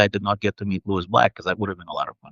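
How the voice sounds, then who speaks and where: Speaking with a Russian accent, a man has a fairly low pitch. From Soviet Union, then New York. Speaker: author and game narrative director. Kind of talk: interview. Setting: live video stream.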